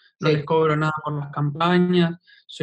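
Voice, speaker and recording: Monotone, flat intonation in a fairly high-pitched male voice. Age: 20s. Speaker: meme page creator. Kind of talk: casual interview chat.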